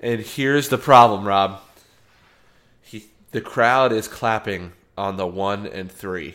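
A man talks at a very slow pace with long, frequent pauses, his pitch fairly low with ordinary variation. The recording is very clean and the background silent. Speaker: podcast co-host. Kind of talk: casual chat.

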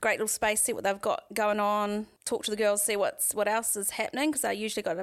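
In a very clean recording with a silent background, a woman with a New Zealand accent talks very fast at a fairly high pitch with hardly any pauses. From New Zealand, Waikato. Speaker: painter and artist. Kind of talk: casual interview.

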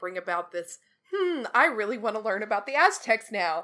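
A woman's animated, bright, sharp voice with an American accent, medium in pitch, lively in intonation, at a fairly quick pace. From Texas. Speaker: podcast guest co-reviewer. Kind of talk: casual review chat.

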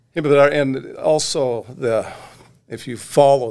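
In an American accent, a man talks fairly slowly in a normal speaking voice with ordinary pitch variation. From Oregon. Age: 60s. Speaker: magazine editor. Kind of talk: casual chat.

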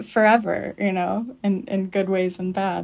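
A woman with an American accent speaks at a moderate pace in an ordinary speaking voice, her intonation fairly even, on a very clean recording with a silent background. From US South (Birmingham, Alabama area). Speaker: poet. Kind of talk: interview. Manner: reflective, with fillers.

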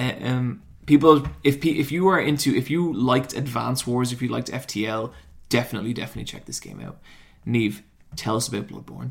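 A man with an Irish accent talks at a fairly quick pace, with ordinary pitch variation, big swings in loudness and some vocal fry. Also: medium pitch for a man. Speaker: YouTuber. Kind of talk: casual banter. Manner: animated.

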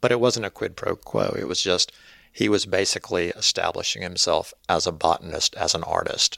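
A man with a fairly low pitch, a bright, sharp tone and ordinary pitch variation at a moderate pace, in a very clean, dry and close recording with a silent background and no echo. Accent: Mississippi. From Mississippi Delta, US South. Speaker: author. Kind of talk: interview.

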